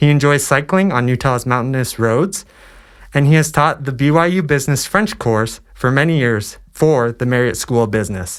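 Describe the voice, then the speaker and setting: This man has an ordinary speaking voice, fairly high in pitch with lively intonation, at a moderate pace. The recording is very clean with a silent background. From US East Coast. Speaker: student podcast host. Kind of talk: scripted introduction; interview. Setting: podcast.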